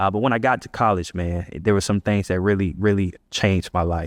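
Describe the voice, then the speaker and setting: A man with an American accent talks at a fairly quick pace and fairly even intonation, recorded dry and close with no echo over a quiet background. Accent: Central Florida accent, noticed by outsiders. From Central Florida (Ocala), US South. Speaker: leader and community organizer, former football player. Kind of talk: podcast interview, personal storytelling. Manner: casual, many fillers and repetitions.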